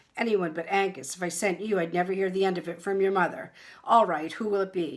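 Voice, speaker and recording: A woman performs a booming put-on character voice at a medium pitch. She talks at a very fast pace. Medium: read story. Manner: blustering, booming.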